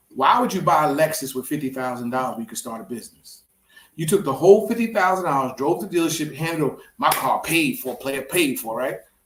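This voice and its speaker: The speech comes at a very fast pace. Its tone is animated, with very wide pitch swings. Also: man, fairly high pitch for a man. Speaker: real estate investor. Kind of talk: casual chat. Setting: studio.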